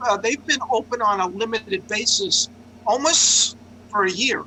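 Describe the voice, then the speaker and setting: A man speaks in a New York accent at a moderate pace. Noticeable background noise runs underneath. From New York City. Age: 60s. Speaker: journalist and open mic organizer. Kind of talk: casual chat. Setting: video call.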